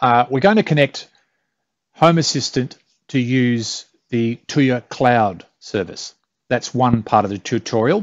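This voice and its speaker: Speaking with an Australian accent, a man uses a medium pitch and ordinary pitch variation. His pace is fairly slow, with long, frequent pauses. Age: middle-aged. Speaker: tech tutorial youtuber. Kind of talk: tutorial. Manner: casual, with fillers and hesitations.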